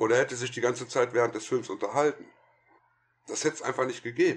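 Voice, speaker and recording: The man talks at a fairly quick pace. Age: 50s. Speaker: film critic and podcaster. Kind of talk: casual chat.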